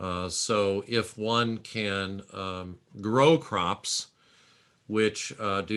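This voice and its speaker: Bright and sharp in tone, a man's fairly low voice holds a fairly even intonation. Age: 60s. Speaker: public health dean and professor. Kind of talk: Q&A in an online lecture. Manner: frequent hesitations (uh, um).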